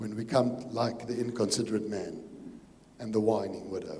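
With a South African accent, a man speaks at a moderate pace. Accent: Afrikaans South African English. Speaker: pastor. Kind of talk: sermon. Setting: church.

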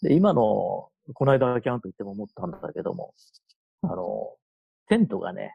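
A man talks at a moderate pace, his loudness swinging widely, with long, frequent pauses. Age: 60s. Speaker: camper with 30+ years experience. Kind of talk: casual interview chat.

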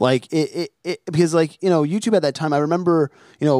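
An ordinary speaking voice at a moderate pace, with fairly even intonation and a dry, close sound free of echo. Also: man. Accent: American. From New Jersey. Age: 30s. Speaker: podcast host. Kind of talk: casual interview chat. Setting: remote call.

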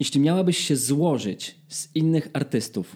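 The man's voice is dark and mellow in tone and somewhat breathy, and its pitch shifts in an ordinary way. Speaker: podcast host, singer. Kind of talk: casual chat.

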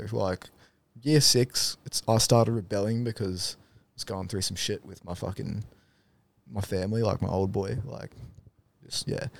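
A man with an Australian accent speaks at a moderate pace in a fairly low voice, with ordinary pitch variation, big swings in loudness and long, frequent pauses. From Darwin, northern Australia. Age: 20s. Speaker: removalist. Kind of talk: casual chat.

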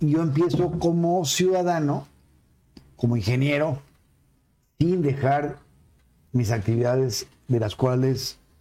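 Speaking very slowly with long, frequent pauses, a man with a Mexican accent has a fairly high pitch, a dark, mellow tone, ordinary pitch variation and very even loudness. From Mexico City. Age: 60s. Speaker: politician and civil engineer. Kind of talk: casual chat.

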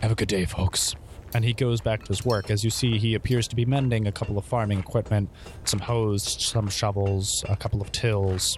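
A man with an ordinary speaking voice talks at a fairly quick pace. His pitch is fairly low and his intonation fairly even. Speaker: game master. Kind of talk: tabletop roleplaying game narration.

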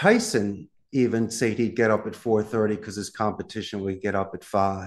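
A man's fairly low voice at a moderate pace, an unremarkable speaking voice with fairly even intonation, against a quiet background. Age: 50s. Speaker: call center business owner. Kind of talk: interview conversation.

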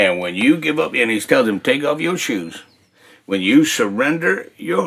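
A man's fairly high voice with very wide pitch swings and vocal fry. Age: 60s. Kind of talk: testimony. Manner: animated.

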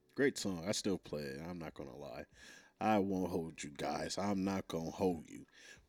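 Over a very clean, silent background, a man with a very deep, low voice speaks at a moderate pace, with ordinary pitch variation and big swings in loudness. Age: 20s. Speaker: podcast host. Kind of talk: casual monologue.

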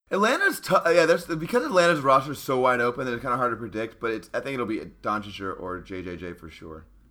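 A man at a medium pitch talks at a very fast pace with hardly any pauses, very wide pitch swings and big swings in loudness, over noticeable background noise. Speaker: podcast host. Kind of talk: casual chat.

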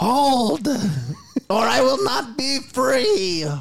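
Someone puts on a character voice pitched fairly high. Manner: commanding.

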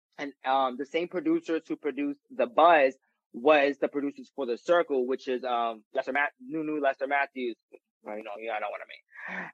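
With a New York accent and ordinary pitch variation, a man speaks on a dry, close recording with no echo. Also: fairly high pitch for a man, moderate pace. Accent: New York (Bronx). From New York, the Bronx. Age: 20s. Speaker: reality TV personality and musician. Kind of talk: casual interview chat.

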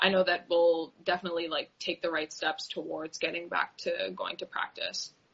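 With a Canadian accent, a woman talks at a moderate pace with hardly any pauses. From Canada, Ottawa. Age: 20s. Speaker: water polo goalkeeper. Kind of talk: casual interview.

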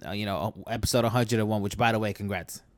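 Here a man talks with a New York accent. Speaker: podcast host. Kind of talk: casual chat.

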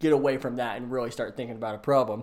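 A man with an American accent speaks at a medium pitch, using a normal speaking voice. His pitch varies in an ordinary way, and the recording is very clean with a silent background. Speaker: NFL podcast co-host, software engineer. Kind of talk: casual sports chat.

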